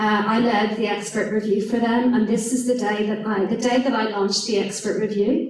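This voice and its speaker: A woman with an Irish accent at a moderate pace, with audible room echo. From Ireland. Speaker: professor. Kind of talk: lecture.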